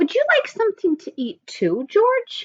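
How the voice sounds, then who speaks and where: Putting on a squeaky character voice, a woman speaks at a moderate pace with extremely high pitch and very wide pitch swings. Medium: read story. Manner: gentle, kind.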